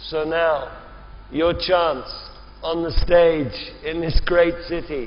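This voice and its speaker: A man talks at a very slow pace in a high pitch, with fairly even intonation. Noticeable background noise and audible room echo fill the recording. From England (Oxford). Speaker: event moderator. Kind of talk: moderated panel discussion.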